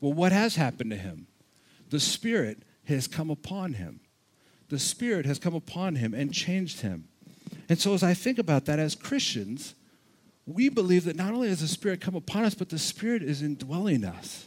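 In a very clean recording with a silent background, a man speaks at a moderate pace and fairly high pitch, his animated tone marked by very wide pitch swings. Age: 40s. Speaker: pastor. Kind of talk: sermon.

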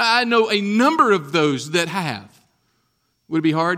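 A man speaks in a raised, projected voice with a high pitch and a bright, sharp tone. The recording is very clean with a silent background. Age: 40s. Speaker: pastor. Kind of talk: sermon.

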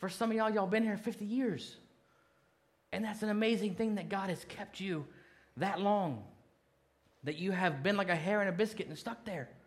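A high-pitched man at a moderate pace, with long, frequent pauses and audible room echo. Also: ordinary pitch variation. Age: 40s. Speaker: pastor. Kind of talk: sermon.

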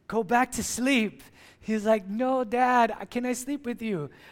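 A man with a non-native accent at a fairly slow pace, in a very clean recording with a silent background. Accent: non-native accent, noticeable. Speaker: pastor. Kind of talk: sermon. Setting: church.

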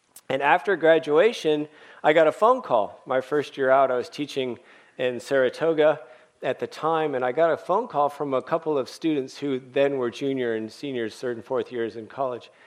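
A man with an American accent talks at a moderate pace, fairly high in pitch, with ordinary pitch variation. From US West Coast, San Francisco Bay Area. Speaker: pastor and former missionary. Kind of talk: sermon. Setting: church service.

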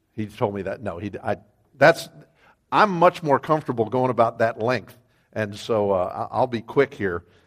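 An unremarkable speaking voice from a man with an American accent, medium pitch, lively intonation and a moderate pace, in a very clean recording with a silent background. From Wyoming, US. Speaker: ministry developer and guest preacher. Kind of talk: sermon.

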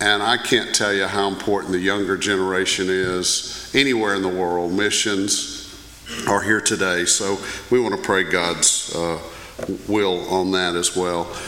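Over noticeable background noise, a man with a very deep, low pitch speaks at a fairly slow pace in a flat monotone. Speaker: pastor. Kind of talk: prayer and church announcements. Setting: church.

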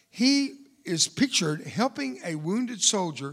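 A man with a Texan accent speaks at a high pitch in an animated tone with very wide pitch swings. The recording is very clean with a silent background. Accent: Texan Southern US English. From Texas. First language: Spanish. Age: 70s. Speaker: war veteran and motivational speaker. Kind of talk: sermon. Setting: church stage with audience.

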